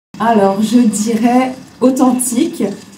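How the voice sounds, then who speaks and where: A woman at a very slow pace with ordinary pitch variation, amid noticeable background noise and audible room echo. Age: 30s. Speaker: hair extension technician, business owner. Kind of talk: interview answers. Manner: hesitant with many fillers.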